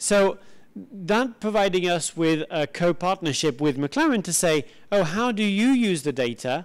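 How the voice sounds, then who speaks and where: Against a quiet background, a man speaks fairly slowly in a high voice with lively intonation. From southern France. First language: French. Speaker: IT executive; conference speaker. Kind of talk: conference talk. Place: hall. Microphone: handheld.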